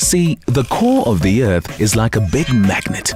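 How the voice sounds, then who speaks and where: Music behind a man's medium-pitched voice, with very wide pitch swings. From South Africa. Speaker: voice actor. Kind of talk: corporate training narration.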